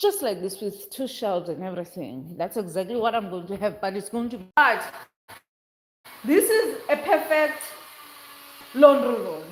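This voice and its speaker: Animated in tone, a woman speaks with a South African accent. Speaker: vlogger. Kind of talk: casual vlog house tour.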